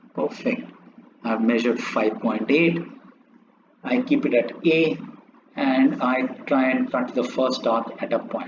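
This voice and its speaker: A man speaks at a fairly slow pace, leaving long, frequent pauses. Noticeable background noise runs behind him. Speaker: maths teacher. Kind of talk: tutorial. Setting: drawing on a laptop.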